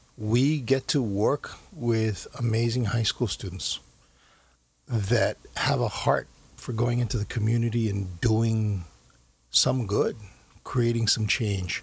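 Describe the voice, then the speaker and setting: A man with an American accent speaks at a very slow pace in a somewhat breathy voice with ordinary pitch variation. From US, Korean American raised. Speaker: investment banker and foundation co-founder. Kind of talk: interview. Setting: studio.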